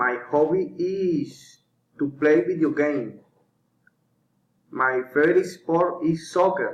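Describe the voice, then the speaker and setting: Very slow speech from a man in a Colombian accent, with ordinary pitch variation and long, frequent pauses. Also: fairly high pitch for a man. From Colombia, Magdalena. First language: Spanish. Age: 30s. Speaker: English learner. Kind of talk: scripted self-introduction. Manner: halting.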